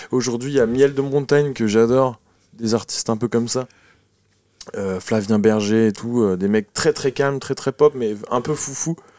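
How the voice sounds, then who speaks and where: With a dry, close sound and no echo, a man talks in a medium pitch and a dark, mellow tone, with ordinary pitch variation. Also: moderate pace. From France, Noirmoutier. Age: 20s. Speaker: musician. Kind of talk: casual interview. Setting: in a bus studio.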